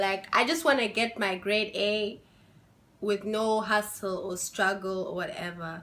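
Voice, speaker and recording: A woman talks at a fairly slow pace in a fairly high pitch. Her tone is bright, sharp and animated. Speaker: international student vlogger. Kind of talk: casual vlog.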